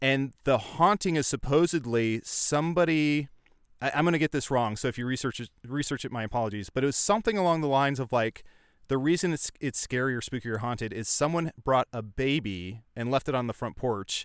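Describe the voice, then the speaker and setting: A man in an ordinary speaking voice with an American accent, medium pitch, lively intonation and a fairly quick pace, in a dry, close sound with no echo on a very clean recording with a silent background. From central Illinois. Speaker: comedian and podcast voice actor. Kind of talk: casual chat.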